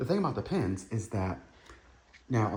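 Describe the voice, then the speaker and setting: At a fairly quick pace, a man talks in a somewhat breathy voice. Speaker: Marine Corps veteran. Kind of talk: casual show-and-tell monologue. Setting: at home. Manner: fast.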